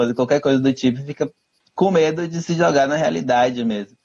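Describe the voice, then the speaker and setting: A normal speaking voice from a man, at a moderate pace with ordinary pitch variation. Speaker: cultural commentator, live show host. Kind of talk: casual chat.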